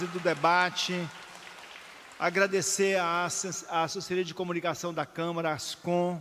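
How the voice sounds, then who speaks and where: A high-pitched man at a fairly slow pace with monotone, flat intonation and crowd noise in the background. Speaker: city councillor presiding over ceremony. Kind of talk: ceremonial closing speech. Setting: city council chamber.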